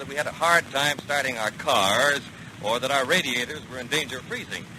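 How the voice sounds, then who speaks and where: Noticeable background noise sits behind a man with a fairly high pitch. He talks at a fairly quick pace with ordinary pitch variation. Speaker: radio commercial announcer. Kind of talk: 1940s radio commercial read.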